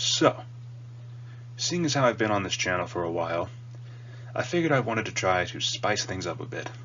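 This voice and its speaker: Lively intonation and a fairly quick pace are broken by long, frequent pauses, with noticeable background noise. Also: man, medium pitch for a man. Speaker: YouTuber reviewing cartoons. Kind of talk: casual monologue review. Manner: conversational.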